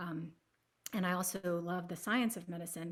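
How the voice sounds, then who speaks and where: In a very clean recording with a silent background, a woman with an American accent talks at a medium pitch and moderate pace in a plain, everyday voice. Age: 40s. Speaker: palliative care advocate. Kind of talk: panel discussion.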